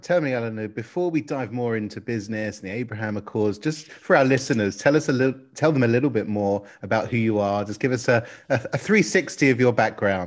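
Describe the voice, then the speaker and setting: At a medium pitch, a man speaks at a fairly quick pace with hardly any pauses and ordinary pitch variation. It is an ordinary speaking voice in a very clean recording with a silent background. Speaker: podcast co-host. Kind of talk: interview.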